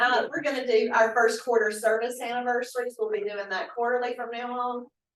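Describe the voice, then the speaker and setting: A woman with fairly high pitch talks at a fairly quick pace. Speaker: county HR staff member. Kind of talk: public meeting report. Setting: county commission meeting room. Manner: loud. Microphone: no microphone.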